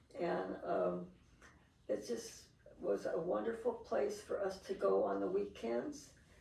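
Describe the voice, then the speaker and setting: Audible room echo surrounds a speaker with an American accent who talks at a fairly slow pace with very even loudness. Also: woman. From Seattle, US Pacific Northwest. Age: 80s+. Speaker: interviewee recalling family history. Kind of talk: interview.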